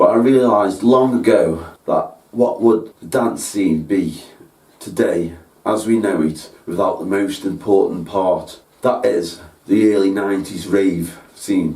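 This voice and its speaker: Speaking in a Staffordshire accent, a man uses a dark, mellow tone at a fairly low pitch and a fairly slow pace, with ordinary pitch variation and audible room echo. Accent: Stoke-on-Trent (Potteries). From Stoke-on-Trent, England. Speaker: music producer and show host. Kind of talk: scripted presentation.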